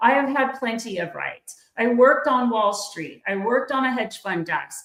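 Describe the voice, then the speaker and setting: A woman speaks in a normal speaking voice. Her pitch is fairly high, with ordinary pitch variation. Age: 60s. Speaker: podcast host and political commentator. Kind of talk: livestream political commentary. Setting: online livestream.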